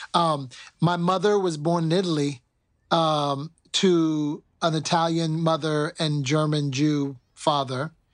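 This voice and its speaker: Over a quiet background, a man with an American accent speaks in an ordinary speaking voice, his fairly high pitch varying in an ordinary way. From US West Coast, Oakland. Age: 50s. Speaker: cultural anthropologist, marketing executive. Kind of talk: casual interview.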